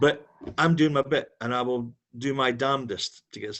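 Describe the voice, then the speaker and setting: This is a man with a Dundee accent. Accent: Scottish (Dundee). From Scotland, Dundee. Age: 60s. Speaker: campaigner. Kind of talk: video call discussion. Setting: video call.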